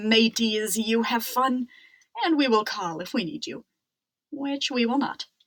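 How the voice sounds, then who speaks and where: Doing a put-on character voice at a fairly high pitch, a woman speaks with long, frequent pauses. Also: moderate pace. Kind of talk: pirate talk. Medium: read story. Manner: gruff, hearty.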